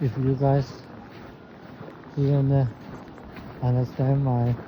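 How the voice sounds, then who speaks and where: This man talks very slowly at a medium pitch, his intonation monotone and flat. Noticeable background noise runs behind him. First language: Chinese. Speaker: vlogger. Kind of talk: casual vlog talk. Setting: outdoors. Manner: halting.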